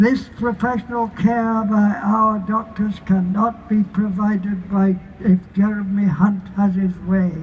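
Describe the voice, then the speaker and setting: Over noticeable background noise, a man speaks at a fairly slow pace. His voice is high and his intonation monotone and flat. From Barnsley, Yorkshire, England. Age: 80s+. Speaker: activist. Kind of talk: protest rally speech.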